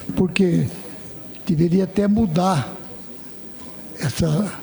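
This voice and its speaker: A man speaks with ordinary pitch variation. Noticeable background noise runs under the recording. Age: 80s+. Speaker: state legislator and farmer. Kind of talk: parliamentary debate.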